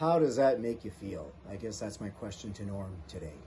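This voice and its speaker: Somewhat breathy, a man speaks at a moderate pace with a dark, mellow tone and lively intonation. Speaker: musician. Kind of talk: recorded video question.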